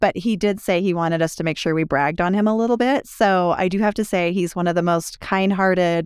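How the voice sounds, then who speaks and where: At a moderate pace, a woman talks in a plain, everyday voice of medium pitch with ordinary pitch variation, in a dry, close sound with no echo. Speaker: relationship podcast host. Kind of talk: podcast conversation between married co-hosts.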